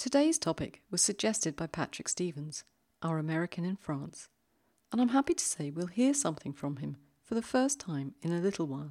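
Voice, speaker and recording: In a very clean recording with a silent background and a dry, close sound with no echo, a woman talks at a fairly quick pace in a dark, mellow tone with very wide pitch swings. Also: fairly low pitch for a woman. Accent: British. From London, England. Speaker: podcast host. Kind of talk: poetry podcast presenting and reading aloud.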